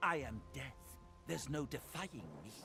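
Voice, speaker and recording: A man puts on a character voice, growling at a fairly low pitch. Clear music plays in the background. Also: moderate pace. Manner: snarling, menacing.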